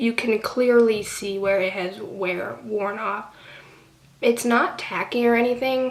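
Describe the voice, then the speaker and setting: Amid noticeable background noise and audible room echo, a woman speaks fairly slowly in a fairly high voice with fairly even intonation. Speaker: beauty vlogger. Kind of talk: casual product review vlog. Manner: casual with many fillers.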